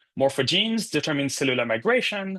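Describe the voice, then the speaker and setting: Bright and sharp in tone, a man talks at a very fast pace with lively intonation. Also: quiet background. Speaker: neuroscience postdoc lecturer. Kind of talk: lecture. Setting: course lecture with screen share.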